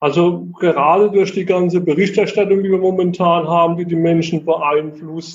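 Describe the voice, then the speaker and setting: A man talks at a moderate pace with high pitch and fairly even intonation. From Heidelberg area, Kurpfalz, Germany. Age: middle-aged. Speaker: cycling coach and job placement counselor. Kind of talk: casual interview. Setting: video call.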